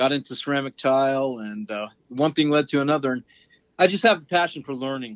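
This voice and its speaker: A man with a plain, everyday voice speaks at a fairly quick pace and fairly high pitch. His pitch variation is ordinary, but his loudness swings a lot. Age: 60s. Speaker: flooring installer and instructor. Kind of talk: interview.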